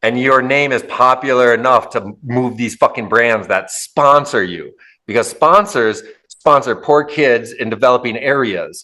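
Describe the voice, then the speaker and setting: Speaking at a fairly slow pace with an Upper Midwest accent, a man sounds bright, sharp and animated, his pitch varying in an ordinary way. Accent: Upper Midwest American. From Minnesota, US. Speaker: podcast host. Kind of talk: casual interview chat.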